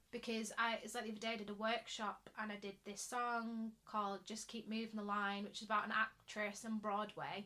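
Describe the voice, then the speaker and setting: A woman with a Mancunian accent, fairly high in pitch, monotone and flat in intonation, at a moderate pace. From Manchester, England. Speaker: actor and singer. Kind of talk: casual podcast chat.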